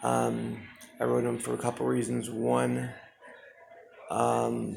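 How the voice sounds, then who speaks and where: Someone speaks at a fairly slow pace, with audible room echo and noticeable background noise. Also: man. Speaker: homeless man on skid row vlogging. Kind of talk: personal video monologue. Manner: halting, repeated words.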